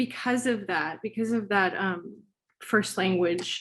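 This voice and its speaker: Heard on a very clean recording with a silent background, a woman speaks very slowly with ordinary pitch variation. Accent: Spanish. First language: Spanish. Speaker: writer. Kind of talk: Q&A after a reading. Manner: halting, many fillers.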